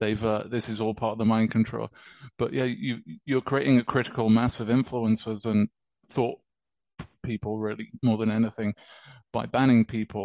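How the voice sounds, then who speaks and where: The speaker has a British accent and a fairly even intonation, with long, frequent pauses. The sound is dry and close, without echo. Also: man, medium pitch for a man, moderate pace. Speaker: musician and crypto enthusiast. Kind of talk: casual interview chat.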